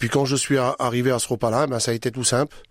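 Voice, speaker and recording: With a dry, close sound and no echo, a man speaks at medium pitch with fairly even intonation. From France, traveller community. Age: 40s. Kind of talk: testimony. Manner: halting.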